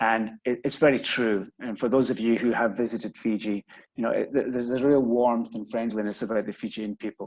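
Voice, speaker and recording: Pitched in the middle range, a man talks with fairly level intonation. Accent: Scottish. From Scotland. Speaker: business executive. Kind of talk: webinar presentation. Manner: hesitant, many fillers and repetitions.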